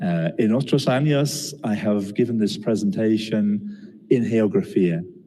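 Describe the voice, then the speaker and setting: Against audible room echo, a man at medium pitch talks at a fairly slow pace with lively intonation and hardly any pauses. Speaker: geography professor. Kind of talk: lecture. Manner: halting.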